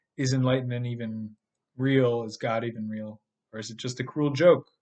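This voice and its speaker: This man talks at a fairly quick pace with a medium pitch. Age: 30s. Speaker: podcast host and spiritual teacher. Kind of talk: monologue podcast. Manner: casual, with filler words and repetitions.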